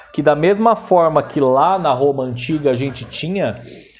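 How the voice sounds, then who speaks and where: Speaking at a very slow pace, a man with a dark, mellow tone and ordinary pitch variation is heard with audible room echo. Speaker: history teacher. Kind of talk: lecture. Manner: casual, slang-laden.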